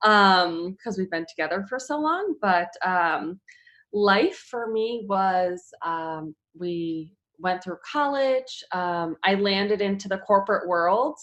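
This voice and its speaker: Lively intonation marks this woman's medium-pitched voice, delivered in a Chicago accent. She speaks at a very slow pace against a quiet background. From US Midwest, Chicago area. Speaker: fitness trainer and mother. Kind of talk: casual interview. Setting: at home, closed room. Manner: many filler ums.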